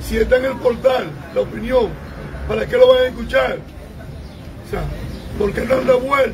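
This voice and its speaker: Speaking at a moderate pace with a Dominican accent, a man leaves long, frequent pauses over crowd noise in the background. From Dominican Republic. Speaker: congressman. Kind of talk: political meeting talk. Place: street. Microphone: phone near.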